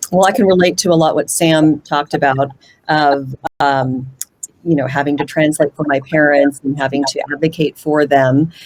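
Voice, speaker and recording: A woman with a Pacific Northwest accent speaks at a moderate pace with a very deep, low pitch. Her intonation is fairly even, and the sound is dry and close with no echo. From Washington State, US (Puyallup). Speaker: panelist. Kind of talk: panel discussion.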